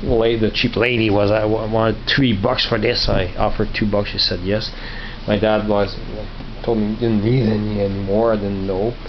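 A man's fairly low voice in a monotone, flat intonation over light background noise. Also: moderate pace, very even loudness. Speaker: vlogger showing flea market finds. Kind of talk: casual vlog chat. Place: home room. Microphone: phone near.

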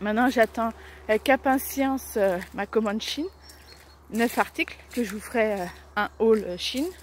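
A woman at a fairly slow pace with long, frequent pauses and ordinary pitch variation, in a dry sound with no echo over light background noise. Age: 30s. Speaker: vlogger. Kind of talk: casual daily vlog. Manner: halting, many fillers. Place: street. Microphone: phone near.

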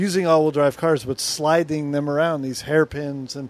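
A man with fairly even intonation, in a dry sound with no echo. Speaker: guest. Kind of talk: interview answer.

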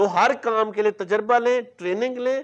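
At a moderate pace, a man talks with a high pitch and ordinary pitch variation.

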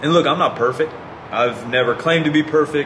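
Noticeable background noise runs behind the man, whose pitch shifts in an ordinary way. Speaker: fitness YouTuber. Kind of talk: angry rant, passionate monologue calling out fraud in fitness. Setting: online video, solo to camera. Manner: earnest, indignant, impassioned; direct, talks straight to viewers.

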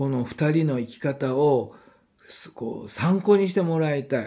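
The tone is dark and mellow. The intonation is lively. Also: man. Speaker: YouTuber announcing spiritual guest talks. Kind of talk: casual monologue. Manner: quieter than usual, family asleep; hesitant, many fillers. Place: home room. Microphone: phone near.

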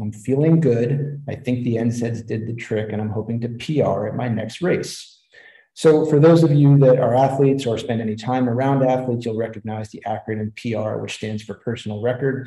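A man talks at a moderate pace in a dark, mellow, somewhat breathy tone with fairly even intonation. The background is quiet, though audible room echo is present. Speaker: presenter. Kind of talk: lecture. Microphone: webcam.

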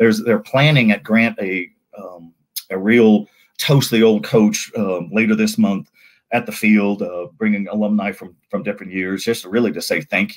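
A man with an American accent, fairly low pitch and an animated tone, at a moderate pace with big swings in loudness over a quiet background. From US West (Sacramento, California). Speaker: sports journalist and show host. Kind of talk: sports news talk show. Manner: animated, frequent fillers and repetitions. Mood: warm, light humor. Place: home room. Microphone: earbuds.

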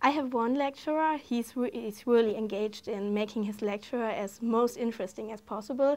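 With a German accent, a woman talks at a moderate pace using fairly even intonation. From Germany. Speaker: exchange student. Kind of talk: casual interview. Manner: halting, hesitant with fillers. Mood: warm, enthusiastic. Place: studio. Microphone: lapel.

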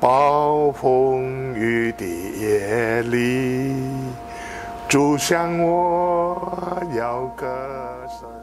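A man's lively intonation over clear music in the background. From Malaysia (Sabah). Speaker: Methodist pastor, itinerant preacher. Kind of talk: interview answer. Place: home room.

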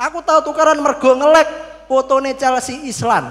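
Against a quiet background, a man talks at a fairly slow pace in an extremely high voice with an animated tone. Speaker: stand-up comedian (competitor). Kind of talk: stand-up comedy. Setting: stage with audience. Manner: animated, storytelling. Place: stage. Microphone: handheld.

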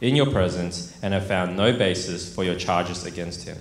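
The voice moves at a moderate pace with ordinary pitch variation, against audible room echo and light background noise. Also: man. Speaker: pastor. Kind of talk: scripture reading in a sermon. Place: church. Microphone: handheld.

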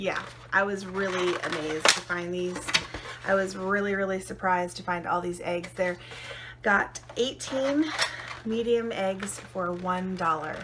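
A woman speaks at a fairly slow pace with ordinary pitch variation over noticeable background noise. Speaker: haul vlogger. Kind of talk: casual vlog chat. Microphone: phone near.

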